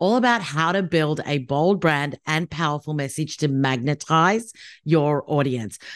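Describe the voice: A husky, low-pitched woman's voice at a fairly slow pace, with ordinary pitch variation, on a very clean recording with a silent background.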